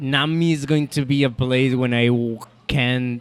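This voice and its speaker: Music plays in the background as a man speaks very slowly in a Spanish accent. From Colombia. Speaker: chef and restaurant owner. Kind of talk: interview conversation. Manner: halting, with repetitions.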